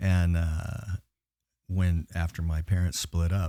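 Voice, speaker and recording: Somewhat breathy with a dark, mellow tone, the voice keeps fairly even intonation in a dry, close sound with no echo. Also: man. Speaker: metal vocalist and record label owner. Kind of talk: casual chat.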